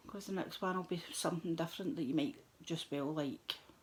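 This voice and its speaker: A quiet woman's voice, fairly low in pitch, with ordinary pitch variation at a moderate pace. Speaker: crafting vlogger. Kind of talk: craft tutorial chat. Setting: at home, middle of the night. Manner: relaxed.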